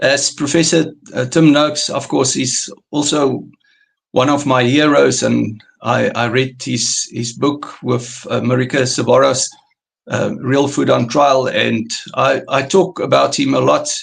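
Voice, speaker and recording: Speaking at a fairly slow pace, a man talks in a South African accent. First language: Afrikaans. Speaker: carnivore diet coach. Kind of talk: interview. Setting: live stream. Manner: halting.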